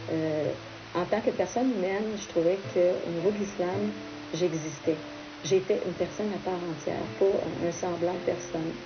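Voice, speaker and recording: With music in the background and audible room echo, a woman speaks at a fairly low pitch. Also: ordinary pitch variation, moderate pace. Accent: Quebec French. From Quebec. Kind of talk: interview testimony.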